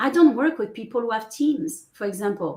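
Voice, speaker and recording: Lively intonation marks this woman's high-pitched voice. She speaks with a French accent. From France. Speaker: business coach. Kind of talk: interview.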